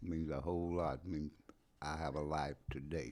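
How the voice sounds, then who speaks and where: This man's pitch is very deep and low. He keeps a moderate pace. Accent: American. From US Appalachian coal country. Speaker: recovering addict, podcast guest. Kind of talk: testimony. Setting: at home. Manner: quiet, laid back.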